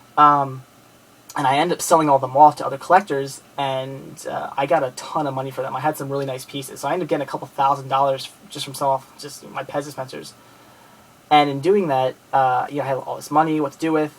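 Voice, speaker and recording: A man's fairly high, flat, monotone voice in an American accent, very fast, with big swings in loudness. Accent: Philadelphia-area accent, noticed by a viewer. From Philadelphia area, Pennsylvania, US. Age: 20s. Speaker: movie collector and video blogger. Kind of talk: casual video message to viewers. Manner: halting, many fillers and restarts.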